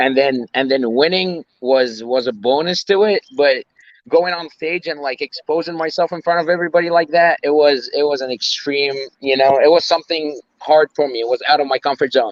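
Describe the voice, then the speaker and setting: A man with an Arabic accent, fairly high in pitch, with ordinary pitch variation at a moderate pace. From Egypt. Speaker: personal trainer and bodybuilder. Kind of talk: interview. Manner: halting, many fillers and repeats.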